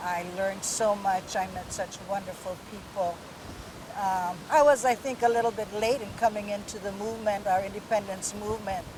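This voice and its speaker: A woman with a Hawaiian accent speaks with fairly even intonation over noticeable background noise. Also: medium pitch for a woman, moderate pace. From Hawaii, Kauai. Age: 60s. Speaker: Hawaiian rights activist. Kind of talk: interview. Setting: outdoors.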